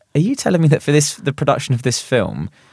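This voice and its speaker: A man at a very fast pace with ordinary pitch variation, in a dry, close sound with no echo. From England. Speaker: podcast co-host. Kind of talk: casual chat.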